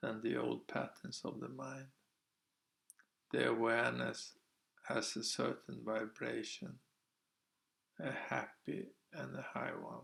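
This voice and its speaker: A man talks at a fairly slow pace. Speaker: meditation practitioner and vlogger. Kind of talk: reading aloud own retreat journal.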